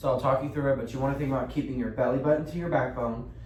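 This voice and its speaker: Audible room echo and noticeable background noise are present. A man speaks with fairly even intonation. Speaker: fitness instructor. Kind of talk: guided workout tutorial. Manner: encouraging, counting reps aloud.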